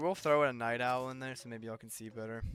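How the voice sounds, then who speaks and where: Soft-spoken and at a moderate pace, a man talks in a medium pitch amid audible room echo. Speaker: gaming streamer. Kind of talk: live gameplay stream. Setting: live stream. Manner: casual, filler words. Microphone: quiet mic level on streaming software.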